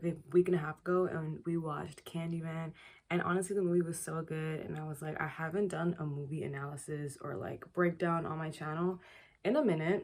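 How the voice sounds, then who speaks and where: Speaking at a moderate pace, a woman has a plain, everyday voice pitched fairly low. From Toronto, Canada. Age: young. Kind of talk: casual film analysis talk to camera.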